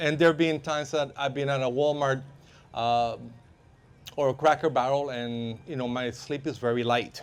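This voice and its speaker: A man with a Spanish accent speaks at a fairly slow pace with long, frequent pauses, in a fairly high pitch with fairly even intonation. The recording is very clean, with a silent background. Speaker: self-defense and firearms instructor. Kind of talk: workshop talk to live audience. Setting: workshop with live audience. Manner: halting, many fillers.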